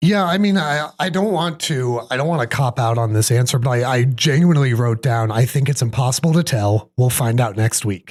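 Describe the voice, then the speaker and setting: Lively intonation marks this man's medium-pitched, somewhat breathy voice. He moves at a fairly quick pace with hardly any pauses. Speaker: sports podcast host. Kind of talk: casual sports talk.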